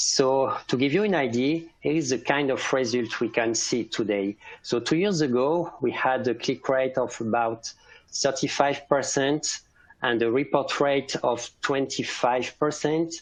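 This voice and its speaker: A man speaks in a French accent. His loudness is very even, and his pitch varies an ordinary amount. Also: medium pitch for a man, fairly slow pace. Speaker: cybersecurity specialist. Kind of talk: conference presentation. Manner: halting.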